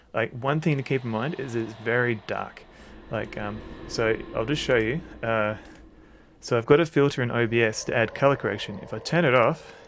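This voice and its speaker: With an Australian accent, a man of medium pitch speaks at a fairly quick pace and with fairly even intonation. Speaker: streamer. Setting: gameplay commentary. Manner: casual, hesitant.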